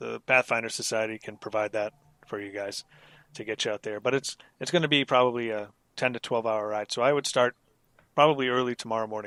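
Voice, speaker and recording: A gruff, put-on character voice talks at a fairly quick pace. The sound is dry and close, with no echo. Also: man. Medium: actual play. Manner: gruff, brisk.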